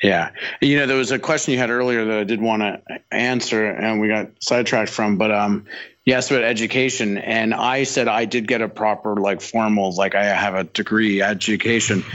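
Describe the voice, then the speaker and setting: A man with a Canadian accent has a normal speaking voice at a fairly low pitch. His loudness stays very even as he talks fairly quickly. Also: fairly even intonation. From Canada, Toronto. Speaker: film art director and illustrator. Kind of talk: casual interview chat.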